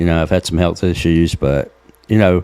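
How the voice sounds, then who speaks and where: With an American accent, a man speaks in a very deep, low voice. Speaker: musician and streamer. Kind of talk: casual monologue to camera. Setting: home studio, streaming. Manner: halting, many fillers.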